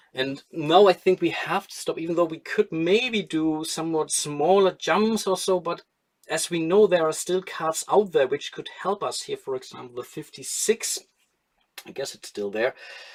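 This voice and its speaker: Big swings in loudness mark this man's delivery, spoken with a strong German accent at a high pitch, with ordinary pitch variation and a moderate pace. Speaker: board game streamer. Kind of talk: live stream solo gameplay commentary. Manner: casual, thinking aloud with hesitations.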